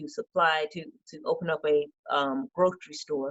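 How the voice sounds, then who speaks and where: With a Georgia accent, a woman speaks at a fairly low pitch. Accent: Southern American (Georgia). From Decatur, Georgia, USA. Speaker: state representative and small business advocate. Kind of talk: interview answer.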